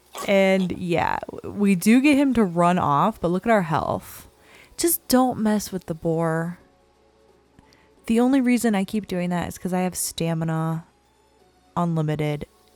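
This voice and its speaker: A woman speaks at a fairly slow pace with a fairly low pitch, over music in the background. Her pauses are long and frequent. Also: lively intonation. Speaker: gaming youtuber. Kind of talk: gameplay commentary. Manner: relaxed, chill.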